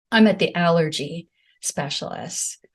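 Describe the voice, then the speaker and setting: The speaker is a woman with a fairly low voice. Her delivery is somewhat breathy. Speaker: medium and author, near-death experiencer. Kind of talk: interview testimony. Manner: halting.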